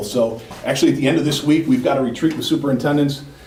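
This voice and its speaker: A man's speech carries audible room echo, with noticeable background noise as well. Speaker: regional education services administrator. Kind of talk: board meeting presentation. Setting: school board meeting. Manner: fast.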